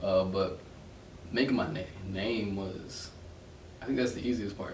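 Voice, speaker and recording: Amid noticeable background noise and audible room echo, a man with an American accent speaks at a fairly slow pace, with a fairly low pitch and ordinary pitch variation. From New Jersey (Trenton). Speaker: photographer. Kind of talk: interview.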